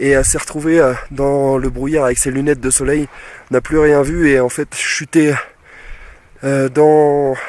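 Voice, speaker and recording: A man's fairly high voice at a fairly slow pace, monotone and flat, with long, frequent pauses. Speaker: travel vlogger. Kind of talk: casual vlog talk to camera. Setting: outdoors at high altitude. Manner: halting, choppy.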